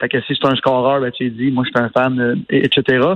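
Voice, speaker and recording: With a Quebec accent, this man is talking. He keeps to a moderate speed. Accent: Québécois French. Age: 30s. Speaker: entrepreneur, radio commentator. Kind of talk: casual chat.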